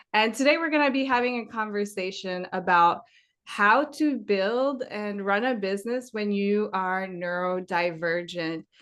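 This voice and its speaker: A woman with a French accent at a fairly slow pace, against a quiet background. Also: medium pitch for a woman, lively intonation. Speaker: podcast host. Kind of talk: interview.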